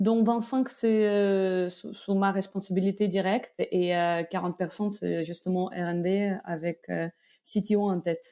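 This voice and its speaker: A dark, mellow tone in a Belarusian accent, fairly slow and fairly even in intonation, on a very clean recording with a silent background. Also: woman, medium pitch for a woman. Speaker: tech company executive. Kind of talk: interview. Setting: podcast. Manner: hesitant, many fillers.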